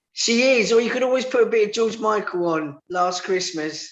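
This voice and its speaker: A man speaks with a Cockney accent at a high pitch. His pitch variation is ordinary. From London, England. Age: 50s. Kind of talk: radio interview, personal testimony. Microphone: line dropping, sound quality went funny.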